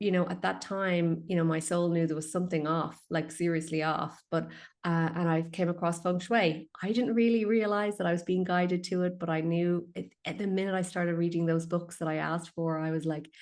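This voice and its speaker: Against a quiet background, someone with an Irish accent speaks at a moderate pace. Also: woman. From west of Ireland. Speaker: feng shui consultant and healer. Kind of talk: podcast interview.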